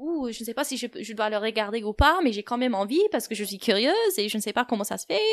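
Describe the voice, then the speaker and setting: A fairly high-pitched woman's voice at a fairly quick pace, with an English accent. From United States. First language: English (speaking French). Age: 20s. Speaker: podcast guest. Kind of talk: personal testimony. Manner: hesitant, many fillers.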